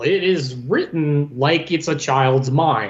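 A man's voice against noticeable background noise. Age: 40s. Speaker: returning podcast co-host. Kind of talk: casual chat.

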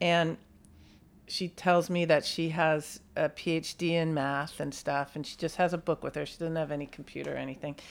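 A woman's very deep, low voice in a flat monotone with an American accent, on a very clean recording with a silent background. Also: moderate pace. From US West Coast, San Francisco Bay Area. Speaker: friend of the host. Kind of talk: casual chat.

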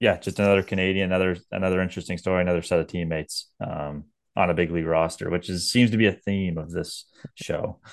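Very fast speech with fairly even intonation against a quiet background. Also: man, very deep, low pitch for a man. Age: 30s. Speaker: baseball podcast co-host. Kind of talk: casual sports chat.

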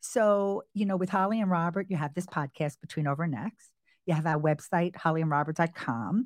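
Recorded very cleanly against a silent background, a woman with a fairly low pitch and an American accent talks at a fairly quick pace in an ordinary speaking voice with ordinary pitch variation. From New York, Long Island. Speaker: podcast host. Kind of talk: casual chat.

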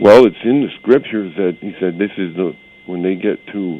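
A moderate pace and ordinary pitch variation against noticeable background noise. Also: man. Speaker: caller. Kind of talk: casual chat. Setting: phone call.

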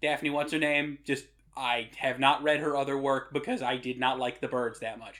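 The man has an American accent and a fairly high pitch. He speaks at a moderate pace in a monotone, flat delivery. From US Northeast, Rhode Island. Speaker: podcast host. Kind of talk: casual chat. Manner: irreverent, jokey.

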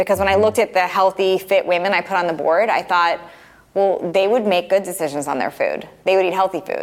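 A woman speaks at a fairly quick pace with fairly even intonation and medium pitch. She has an unremarkable speaking voice. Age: 40s. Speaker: fitness coach and entrepreneur. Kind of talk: interview.

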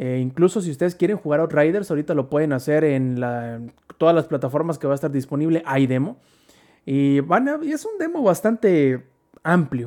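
A man speaks fairly quickly in a fairly high pitch. His tone is dark and mellow, with ordinary pitch variation. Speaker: gaming podcast host. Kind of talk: casual chat.

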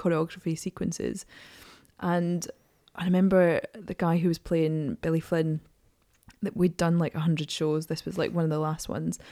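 In an Edinburgh accent, a woman speaks at a fairly low pitch with a dark, mellow tone and flat, monotone intonation, leaving long, frequent pauses. The recording is very clean, with a silent background. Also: moderate pace. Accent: Scottish (Edinburgh). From Scotland, Edinburgh. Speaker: singer and actor. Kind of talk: casual chat. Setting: studio.

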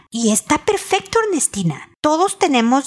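A woman talks with very wide pitch swings. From Mexico. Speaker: relationship advice podcaster. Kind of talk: advice monologue.

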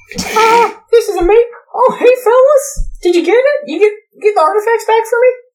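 This put-on character voice is squeaky and extremely high, delivered at a moderate pace.

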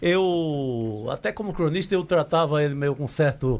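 A man with a fairly high pitch. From Cariri, Ceará, Brazil. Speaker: journalist and writer. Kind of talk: casual chat. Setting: studio.

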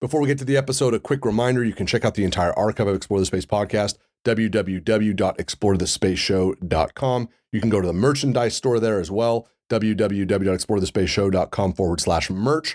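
A man speaks in a normal speaking voice, fairly low and fairly quick. His pitch varies in an ordinary way. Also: very even loudness. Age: 40s. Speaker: podcast host, physician. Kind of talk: scripted intro and outro; casual interview chat.

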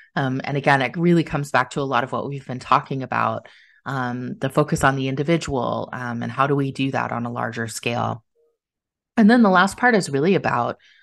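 A woman's lively intonation with vocal fry over a quiet background. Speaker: HR business owner and cancer survivor. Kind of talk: interview podcast conversation.

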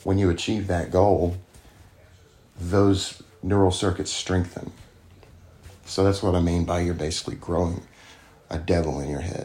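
In a very deep, low voice with a dark, mellow tone, a man with an American accent speaks in a flat monotone, somewhat breathy, with long, frequent pauses. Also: moderate pace. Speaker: recovering addict. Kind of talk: interview testimony.

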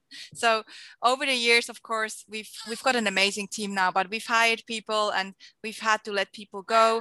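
A woman with a Swiss accent speaks at a moderate pace in a fairly high voice. Her intonation is monotone and flat, while her loudness swings widely. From Switzerland. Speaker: entrepreneur and marketing educator. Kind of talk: interview. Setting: video call.

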